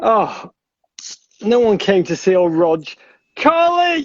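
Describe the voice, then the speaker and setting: Over music in the background, a man with a high pitch speaks in an English accent, his pitch swinging very widely. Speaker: podcast host. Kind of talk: casual chat. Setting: Instagram live video stream. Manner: animated.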